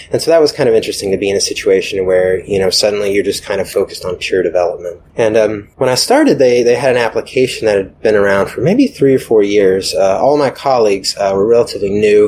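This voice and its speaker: In an American accent, the words come at a very fast pace with hardly any pauses. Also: man. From US South, Atlanta. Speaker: software developer. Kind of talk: casual interview. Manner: hesitant, many fillers.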